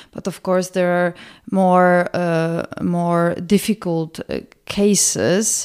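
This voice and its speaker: With a Polish accent, a woman speaks at a fairly low pitch. Her delivery is very slow, her intonation monotone and flat. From Poland, Warsaw. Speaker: senior migration policy analyst. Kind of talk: podcast interview. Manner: hesitant, many fillers and repetitions.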